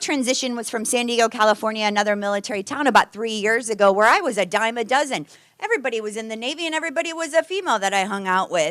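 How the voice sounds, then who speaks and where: Animated and barely pausing, a woman with a fairly high pitch talks at a very fast pace with lively intonation. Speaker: Navy veteran, guest speaker. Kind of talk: presentation to a club. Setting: meeting room with audience.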